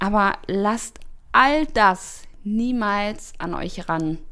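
A woman's voice with lively intonation. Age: 20s. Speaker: model. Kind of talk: casual interview.

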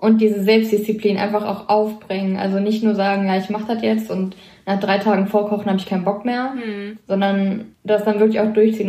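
Speaking at a very fast pace, a woman with a medium-pitched voice keeps a monotone, flat intonation amid audible room echo and noticeable background noise. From Lower Rhine, Germany. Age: 20s. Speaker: hospital medical technician. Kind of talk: casual interview.

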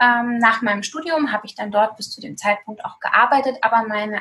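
Her speaking voice is unremarkable, with a fairly high pitch for a woman, ordinary pitch variation and a moderate pace. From Germany, eastern Hesse. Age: 30s. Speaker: food blogger and nutritionist. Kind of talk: casual interview.

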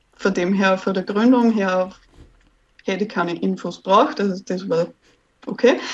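A woman's voice with ordinary pitch variation. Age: 20s. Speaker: virtual assistant. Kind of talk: interview.

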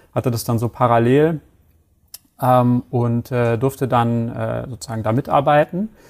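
Speaking at a fairly slow pace, a man uses a plain, everyday voice at a medium pitch with ordinary pitch variation. The sound is dry and close with no echo, on a very clean recording with a silent background. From Hamburg, northern Germany. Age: 30s. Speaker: e-commerce product manager. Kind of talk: interview.

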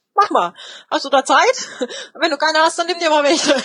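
Animated in tone, a woman talks at a very fast pace. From eastern Germany, Spreewald (Lübben, Brandenburg). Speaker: sign language interpreter. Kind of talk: interview. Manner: animated, with many fillers.

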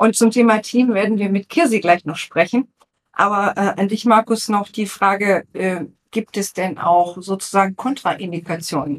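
An ordinary speaking voice from a woman at medium pitch, with ordinary pitch variation. She keeps a moderate pace, and the sound is dry and close with no echo. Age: 50s. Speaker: guest interviewer, former corporate PR manager. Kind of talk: interview questions. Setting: studio, seated at a table together.

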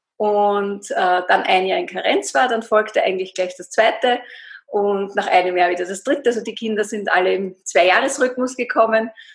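This woman's fairly high voice shows ordinary pitch variation as she talks at a moderate pace. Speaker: fasting coach. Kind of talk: interview. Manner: hesitant fillers.

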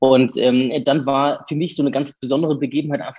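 Talking very fast, a man keeps his intonation fairly even. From Germany, Hesse (near Fulda). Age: 30s. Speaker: violinist and music professor. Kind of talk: interview conversation. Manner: hesitant, many filler sounds.

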